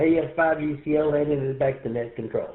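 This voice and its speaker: With a Texan accent, a man speaks fairly slowly at a fairly high pitch. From East Texas. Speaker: amateur radio operator. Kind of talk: radio net check-in. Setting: radio shack, radio net.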